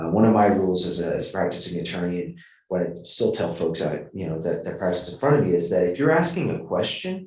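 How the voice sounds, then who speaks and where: A man talks at a fairly quick pace. Audible echo from the room surrounds his voice. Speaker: judge. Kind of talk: feedback talk. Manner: fast talker.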